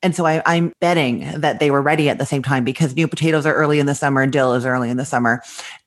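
A woman speaks very fast in a very deep, low voice with ordinary pitch variation and very even loudness, over noticeable background noise. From Canada, Winnipeg, Manitoba. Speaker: food blogger and businesswoman. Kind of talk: interview. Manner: open, breezy.

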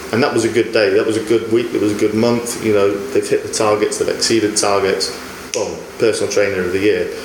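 Words tumble out of a man very fast while noticeable background noise carries on behind him. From northern England. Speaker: sports scientist. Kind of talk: casual chat.

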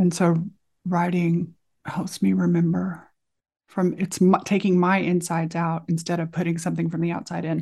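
A woman's fairly low, somewhat breathy voice with a dark, mellow tone. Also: moderate pace. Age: 50s. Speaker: author and life coach. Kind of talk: interview conversation. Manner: animated.

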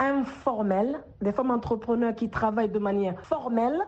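Fairly high female speech, ordinary in its pitch variation, amid noticeable background noise. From Guinea. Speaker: social entrepreneur and politician. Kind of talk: radio interview. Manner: hesitant with frequent fillers.

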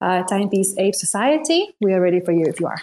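On a very clean recording with a silent background, a woman talks at a fairly quick pace in a medium pitch. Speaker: online community space host. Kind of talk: casual chat. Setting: office. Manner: animated.

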